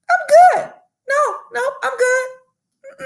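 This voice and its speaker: A woman's squeaky, put-on character voice, extremely high in pitch, with very wide pitch swings. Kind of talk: casual, conversational. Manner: polite but insistent refusal.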